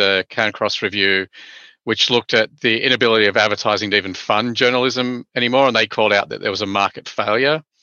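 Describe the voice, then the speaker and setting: With an Australian accent, a man talks at a fairly quick pace and keeps his intonation fairly even. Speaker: media industry expert. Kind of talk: interview.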